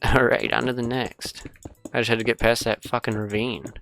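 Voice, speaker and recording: A fairly slow pace with music in the background. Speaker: gaming YouTuber. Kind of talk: gameplay commentary. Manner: casual, rambling.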